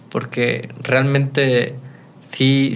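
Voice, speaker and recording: Male speech of medium pitch, carrying audible room echo. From Mexico, Guanajuato. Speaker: youtuber and entrepreneur. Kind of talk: interview.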